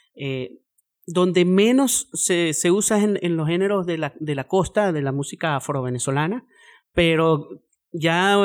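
A man with a high pitch and lively intonation is heard on a very clean recording against a silent background. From Venezuela, Andes (Mérida). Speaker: musician, cuatro player. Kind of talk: interview. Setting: studio.

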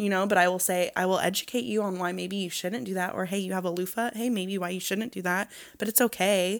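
Very fast and with hardly any pauses, a woman of medium pitch speaks in an animated tone. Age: 20s. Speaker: esthetician and small business owner. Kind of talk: casual interview chat. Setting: studio. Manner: animated, laughs often.

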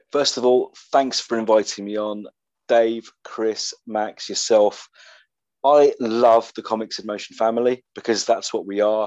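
Against a quiet background, a man speaks in a monotone, flat way at a fairly slow pace and medium pitch. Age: 50s. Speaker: podcast host, comics writer. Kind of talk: casual chat.

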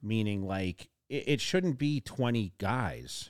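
A man's normal speaking voice, medium in pitch, with an American accent, lively intonation and a fairly slow pace. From Massachusetts. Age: 40s. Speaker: bodybuilding podcast host. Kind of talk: casual chat.

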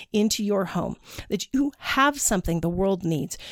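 A woman at a fairly quick pace, with lively intonation and an animated tone. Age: 50s. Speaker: podcast host and faith-based business coach. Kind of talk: motivational podcast monologue.

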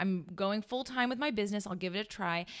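The intonation rises and falls in a lively way. It is an unremarkable speaking voice. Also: woman, very clean recording, silent background. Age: 30s. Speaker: wedding planner, business owner. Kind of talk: casual interview chat.

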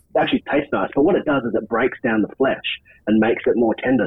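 This man has an Australian accent. He talks at a very fast pace. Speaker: camp cook. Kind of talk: tutorial.

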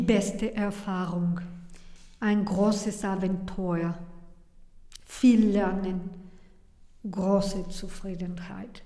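In a Spanish accent, a woman speaks very slowly in a flat monotone, pausing long and often, with audible room echo. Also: medium pitch for a woman. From Mexico. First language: Spanish (speaking German). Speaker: restaurant founder and chef. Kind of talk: interview. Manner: halting.

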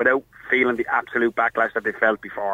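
This is a man speaking. He has an Irish accent. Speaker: caller, bar worker and referee. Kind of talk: phone-in discussion. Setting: phone call.

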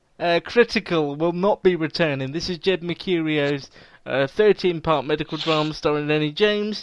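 Against a quiet background, a man with an English accent talks at a moderate pace in a fairly high pitch, with ordinary pitch variation and a dry, close sound with no echo. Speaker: podcast host. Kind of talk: casual chat.

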